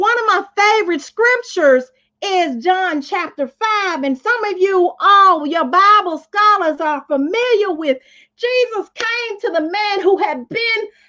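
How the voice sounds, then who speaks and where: A woman's raised, projected voice in a Southern US accent, extremely high-pitched, bright and sharp, with an animated tone and lively intonation. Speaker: motivational speaker. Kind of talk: live stream motivational talk. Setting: live stream. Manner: loud.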